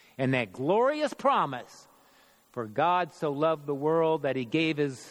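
A man with an unremarkable speaking voice, fairly high in pitch, at a fairly slow pace. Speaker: church member performing dramatic monologue. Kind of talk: first-person dramatic monologue in character as a biblical figure at the cross. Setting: church midweek worship service. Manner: rising from confessional regret to bold, resolute proclamation; solemn, measured, theatrical storytelling cadence.

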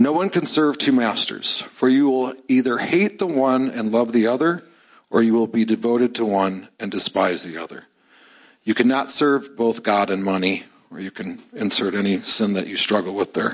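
With an American accent and a normal speaking voice, a man speaks at a moderate pace, his medium pitch carried by lively intonation. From US Midwest, Chicago suburbs. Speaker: church member. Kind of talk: testimony. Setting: church.

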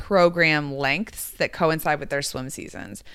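On a very clean recording with a silent background, a woman with a very deep, low voice speaks in a bright, sharp, animated tone with ordinary pitch variation. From Louisville, Kentucky. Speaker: Olympic swimmer and sports psychology consultant. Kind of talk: casual chat.

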